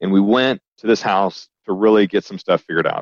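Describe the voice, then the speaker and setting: In a normal speaking voice with an American accent, the speaker goes at a fairly quick pace with fairly even intonation and a dry, close sound with no echo. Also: man. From US South, Alabama. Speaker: company CEO. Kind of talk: interview conversation.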